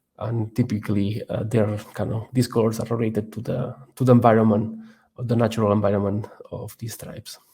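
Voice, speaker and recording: A man with a Catalan accent speaks fairly quickly at medium pitch in a dark, mellow, somewhat breathy voice, monotone and flat but with big swings in loudness. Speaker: research scientist presenting a course. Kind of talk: tutorial. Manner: halting, many fillers and repetitions.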